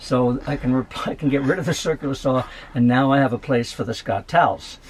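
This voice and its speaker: Over noticeable background noise, a man talks fairly quickly at a medium pitch. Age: 70s. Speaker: van dweller. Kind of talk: casual talk to camera.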